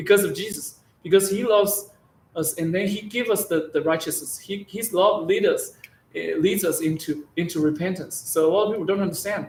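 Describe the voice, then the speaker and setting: Speaking at a moderate pace, a man with a Chinese accent has a high-pitched voice. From China. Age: 40s. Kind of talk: testimony. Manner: halting, many repetitions.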